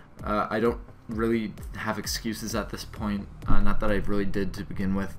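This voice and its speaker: A man's fairly low voice comes through with audible room echo. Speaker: gaming YouTuber. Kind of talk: gameplay commentary. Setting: alone in a hotel room. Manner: fast; energetic.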